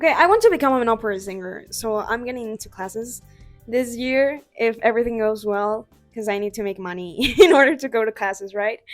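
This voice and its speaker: Music plays in the background as a woman speaks at a moderate pace, her fairly high pitch showing ordinary variation. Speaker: amateur artist. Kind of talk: casual talk to camera.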